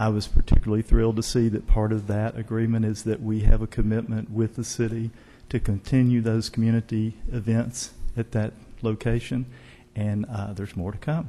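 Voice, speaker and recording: A man's dark, mellow voice, fairly quick and monotone, with flat intonation. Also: medium pitch for a man. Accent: Arkansas. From Northwest Arkansas. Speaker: arts organization executive director. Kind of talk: formal remarks at city council meeting. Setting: council chamber.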